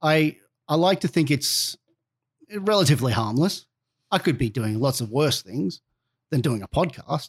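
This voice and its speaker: A man's fairly high, somewhat breathy voice with lively intonation, a moderate pace and long, frequent pauses, on a very clean recording with a silent background. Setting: studio.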